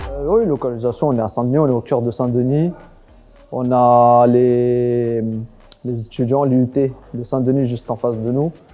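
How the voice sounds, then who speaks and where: Over music in the background, a man with a medium pitch talks at a fairly slow pace in a fairly even intonation. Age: 30s. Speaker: restaurant owner. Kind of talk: interview monologue. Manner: casual, hesitant with fillers.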